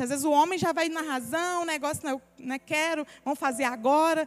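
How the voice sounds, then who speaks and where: A woman's high voice with lively intonation, over noticeable background noise. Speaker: pastor. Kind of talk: sermon. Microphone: microphone cutting in and out.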